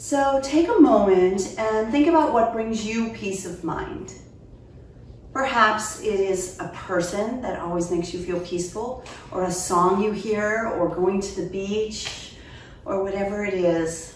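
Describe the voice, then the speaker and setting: The speech moves at a fairly slow pace with audible room echo. Light background noise can be heard. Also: woman. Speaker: yoga instructor. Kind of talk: tutorial. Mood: calm, soothing. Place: home room.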